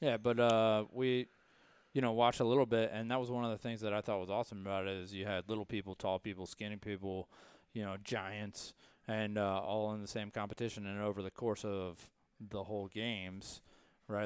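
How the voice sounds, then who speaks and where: In a very clean recording with a silent background, a man with an American accent speaks fairly quickly in monotone, flat intonation. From US South, Raleigh, North Carolina. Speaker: navy veteran and gym member. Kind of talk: casual chat.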